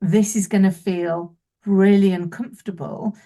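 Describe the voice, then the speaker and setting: Somewhat breathy and dark, mellow in tone, a woman speaks at a medium pitch with fairly even intonation. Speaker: business owner, keynote speaker and author. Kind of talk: interview. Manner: fast.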